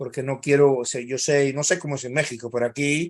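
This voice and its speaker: Here is a man at medium pitch. His intonation stays fairly even. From Cuba, then Spain. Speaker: think tank analyst. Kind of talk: webinar talk. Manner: halting.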